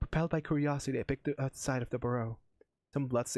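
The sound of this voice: The background stays quiet. Over it, an unforced reading voice carries the text.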